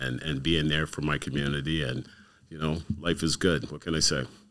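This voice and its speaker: With a Canadian accent and vocal fry, a man speaks at a moderate pace on a very clean recording with a silent background. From Canada, Windsor, Ontario. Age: 60s. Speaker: community youth worker. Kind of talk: casual interview.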